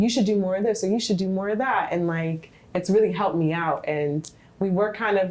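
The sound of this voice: This soft-spoken woman talks at a fairly quick pace and medium pitch. Her tone is slightly mellow, with ordinary pitch variation.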